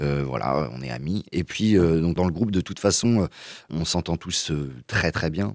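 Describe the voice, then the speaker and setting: Dry and close with no echo, a man's very deep, low voice moves at a fairly slow pace with lively intonation. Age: 20s. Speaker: singer-guitarist. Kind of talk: radio interview.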